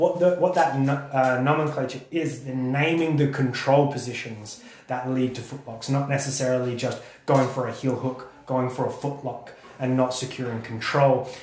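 Noticeable background noise surrounds a man with an Australian accent. He talks at a moderate pace and medium pitch, with fairly even intonation. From South Australia. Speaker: podcast host and jiu-jitsu coach. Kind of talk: casual chat.

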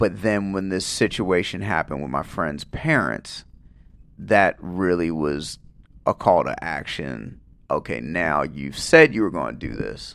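With lively intonation and vocal fry, a man speaks fairly slowly at a very deep, low pitch. The recording is very clean, with a silent background. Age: 40s. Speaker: guest co-host on grief podcast. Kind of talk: casual chat.

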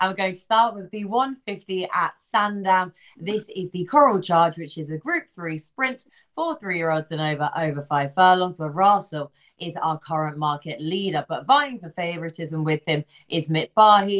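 Woman with a British accent, fairly low in pitch, moderate pace, ordinary pitch variation and big swings in loudness. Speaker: horse racing podcast host. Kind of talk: racing preview chat.

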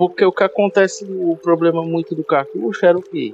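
Speaking at a moderate pace, a man has a high-pitched voice. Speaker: podcast host. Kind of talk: casual interview.

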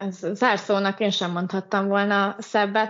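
The speaker is a woman talking at a moderate pace. Her intonation is monotone and flat. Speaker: podcast host. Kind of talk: casual chat.

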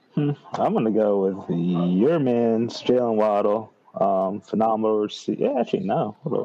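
Speaking at a fairly slow pace with hardly any pauses, a man holds a medium pitch with ordinary pitch variation and very even loudness. Noticeable background noise is present. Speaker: fantasy football podcast co-host. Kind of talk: casual chat, mock draft.

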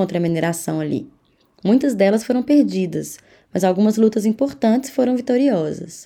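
A woman's dark, mellow tone with lively intonation at a moderate pace. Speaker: urban architect and researcher. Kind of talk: explaining to children.

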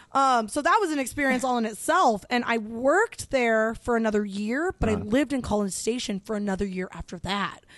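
A woman talks in an ordinary speaking voice, pitched fairly high. Her intonation is lively, and she hardly pauses. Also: fairly quick pace. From eastern New Mexico / West Texas border (Hobbs). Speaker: bar owner. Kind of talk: casual chat. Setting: live stream at a bar.

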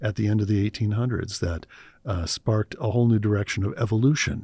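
Somewhat breathy and fairly low in pitch, a man with a Midwestern American accent speaks at a fairly quick pace on a very clean recording with a silent background. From Cleveland, Ohio, US Midwest. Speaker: meditation trainer and artist. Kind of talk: casual interview chat. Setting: studio.

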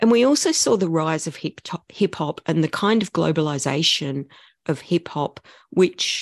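With an Australian accent, the voice moves at a fairly slow pace with ordinary pitch variation, sounding dry and close with no echo over a quiet background. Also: woman. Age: 50s. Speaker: gender studies professor, podcast host. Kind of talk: casual chat.

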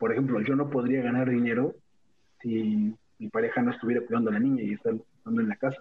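Moderate pace from a man at medium pitch, fairly even intonation, long, frequent pauses. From Mexico City, Tlalpan hills. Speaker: guest. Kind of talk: casual chat.

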